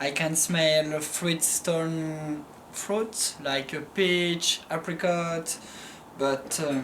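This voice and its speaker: The speaker has a French accent and talks at a very slow pace. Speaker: winemaker. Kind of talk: casual chat. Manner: halting.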